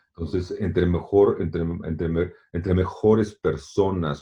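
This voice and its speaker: Pitched very deep and low, a man speaks in a somewhat breathy voice. His pace is fairly slow and his intonation fairly even. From Mexico. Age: 60s. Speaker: long-distance swimmer and author. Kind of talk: interview. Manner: halting, many repetitions and fillers.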